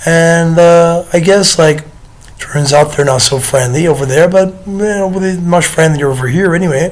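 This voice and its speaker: Over noticeable background noise, a man speaks in a high pitch at a moderate pace with fairly even intonation. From United Kingdom. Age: 30s. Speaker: vlogger. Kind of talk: casual monologue to camera. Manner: hesitant, many fillers.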